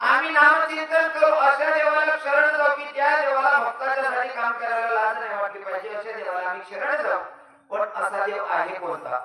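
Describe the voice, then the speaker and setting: A raised, projected voice with lively intonation over noticeable background noise. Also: man, extremely high pitch for a man. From Khandesh, Maharashtra. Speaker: kirtan performer. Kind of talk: devotional sermon with comedy.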